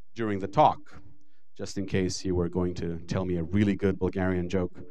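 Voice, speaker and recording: With an Israeli accent, a man talks fairly quickly in a very deep, low, dark and mellow voice, monotone and flat in intonation, with audible room echo. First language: Hebrew. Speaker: lecturer. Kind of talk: lecture.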